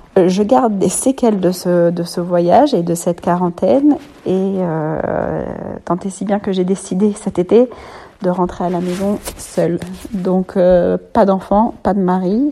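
Over noticeable background noise, a woman at medium pitch speaks at a very slow pace with long, frequent pauses and ordinary pitch variation. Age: 30s. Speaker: mother giving testimony. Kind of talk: recorded testimony. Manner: halting, many hesitations.

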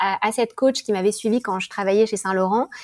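A woman speaks in an unremarkable speaking voice at a medium pitch with ordinary pitch variation. The sound is dry and close, with no echo. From France, Paris. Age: 40s. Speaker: podcaster. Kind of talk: interview.

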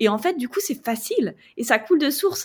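A high-pitched woman's voice on a very clean recording, background silent. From France. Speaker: travel blogger and former journalist. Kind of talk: podcast interview.

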